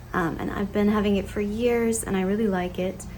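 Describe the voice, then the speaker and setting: Audible room echo hangs around the voice. Its intonation holds fairly even. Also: woman. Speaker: vlogger. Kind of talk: casual vlog talk to camera. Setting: home kitchen.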